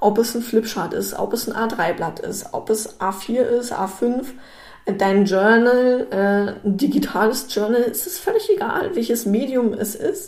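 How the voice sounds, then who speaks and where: Over noticeable background noise, a woman with a fairly high pitch talks at a very slow pace. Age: 20s. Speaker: business consultant. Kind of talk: solo podcast monologue. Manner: casual, filler-heavy.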